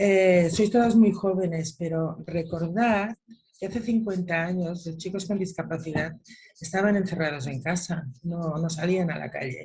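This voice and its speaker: Speaking at a fairly slow pace, a woman has a fairly low pitch with ordinary pitch variation. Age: 60s. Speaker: mother of a son with Down syndrome. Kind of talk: online panel discussion. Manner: animated.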